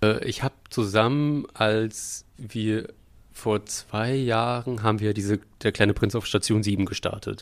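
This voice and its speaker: With an ordinary speaking voice, a man with a fairly low pitch and fairly even intonation talks at a fairly slow pace on a very clean recording with a silent background. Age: 30s. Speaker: puppeteer and podcast co-host. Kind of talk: casual chat.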